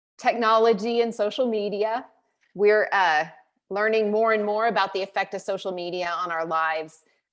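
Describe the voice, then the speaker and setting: With an American accent, a woman uses a normal speaking voice at a moderate pace, her pitch varying in an ordinary way over a quiet background. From US South, rural. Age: 50s. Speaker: conference speaker. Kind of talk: motivational talk.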